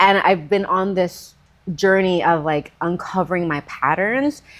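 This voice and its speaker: A woman's unremarkable speaking voice, fairly low in pitch, at a fairly slow pace with ordinary pitch variation. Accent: American. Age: 30s. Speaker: Pilates instructor. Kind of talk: casual interview conversation.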